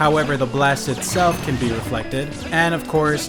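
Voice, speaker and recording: With music behind him, a man talks at a moderate pace. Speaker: gaming video creator. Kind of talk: gaming commentary narration.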